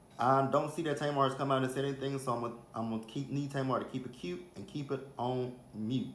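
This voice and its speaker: In an American accent, a man at medium pitch speaks in an animated tone at a very fast pace, with audible room echo. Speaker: celebrity gossip vlogger. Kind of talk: casual chat.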